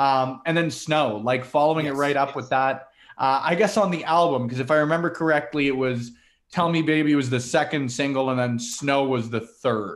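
A man talks at a fairly quick pace in a plain, everyday voice, pitched fairly high with ordinary pitch variation, on a very clean recording with a silent background. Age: 20s. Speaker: wrestling media creator. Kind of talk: casual chat.

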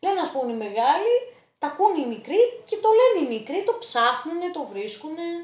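Speaking at a moderate pace, a woman uses an extremely high pitch. Her pitch swings very widely. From Thessaloniki, Greece. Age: 20s. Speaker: interview guest, accounting graduate. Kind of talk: casual interview. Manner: hesitant, many fillers.

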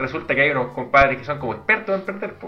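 A man with a Chilean accent talks at a very fast pace, his pitch swinging very widely. Noticeable background noise runs underneath. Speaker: podcast co-host. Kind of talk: casual chat.

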